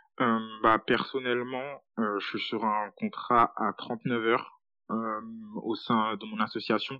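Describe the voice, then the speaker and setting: At a very slow pace, a man talks in a monotone, flat intonation. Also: medium pitch for a man. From Paris suburbs, France. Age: 20s. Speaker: student working in a nonprofit. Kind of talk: interview testimony.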